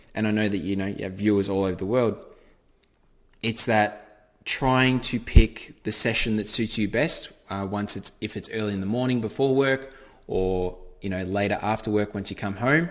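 A man with an Australian accent talks at a fairly low pitch with ordinary pitch variation. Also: moderate pace. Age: 20s. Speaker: forex trader. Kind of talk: podcast interview.

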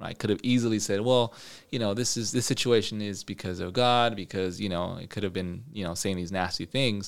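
A man's fairly low-pitched, plain, everyday voice with ordinary pitch variation in a very clean recording with a silent background. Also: fairly quick pace. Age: 30s. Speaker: businessman. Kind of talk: casual interview.

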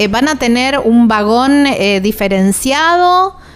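Her pitch is fairly high for a woman, and her intonation is lively. This woman speaks at a very slow pace. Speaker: radio travel show host. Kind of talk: casual chat. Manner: animated.

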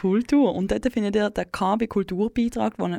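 Over a quiet background, a woman speaks at a moderate pace in a dark, mellow tone. Her pitch is fairly high with ordinary variation. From Switzerland, German-speaking, bilingual with English. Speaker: community radio host. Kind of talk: late-night radio chat. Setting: dark radio studio.

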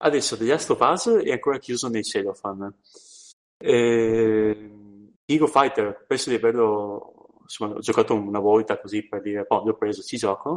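A man talks at a moderate pace with medium pitch and ordinary pitch variation. He leaves long, frequent pauses. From Trieste area, northeastern Italy. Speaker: podcast co-host. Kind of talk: casual chat. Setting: remote call.

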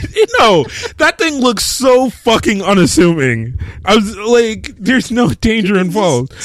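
Amid noticeable background noise, a man with a high pitch makes very wide pitch swings at a moderate pace while keeping his loudness very even. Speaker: podcast co-host. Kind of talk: casual chat. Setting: live stream.

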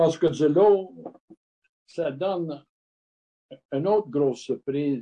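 A man with a dark, mellow tone and a fairly high pitch talks at a very slow pace. His pitch varies in an ordinary way, with long, frequent pauses. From Montreal, Quebec (anglophone, Scottish family). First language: English (speaking French). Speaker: retired brewer turned distiller. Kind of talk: interview. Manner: halting.

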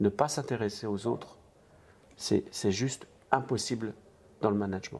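A man's fairly low voice, fairly slow and fairly even in intonation, with long, frequent pauses. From eastern France. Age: 60s. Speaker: restaurant franchise entrepreneur. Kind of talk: interview.

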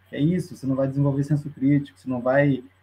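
He is a man with a fairly high-pitched voice. His delivery is somewhat breathy. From Curitiba, Brazil. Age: 40s. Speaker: carnival street band member. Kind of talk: casual chat.

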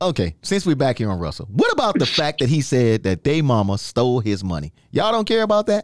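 A man with an American accent talks at a very fast pace with hardly any pauses, his medium pitch swinging very widely, in a dry, close sound with no echo. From New York. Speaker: podcast host and DJ. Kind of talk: casual chat.

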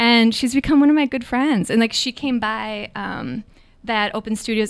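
Captured in a very clean recording with a silent background, a woman with an American accent and a fairly high pitch uses a normal speaking voice with ordinary pitch variation. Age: 40s. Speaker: artist and writer. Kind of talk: casual interview chat.

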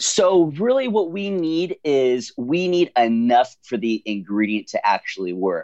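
The background is quiet and the sound dry and close with no echo. A man speaks with very wide pitch swings. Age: 30s. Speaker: nutrition company CEO. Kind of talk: interview.

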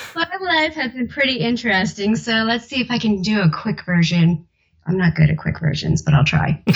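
Speaking with an American accent at a moderate pace, a woman's medium-pitched voice carries vocal fry and very wide pitch swings. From South Jersey, near Philadelphia. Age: 30s. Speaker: audiobook narrator. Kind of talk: casual interview. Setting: remote call at home.

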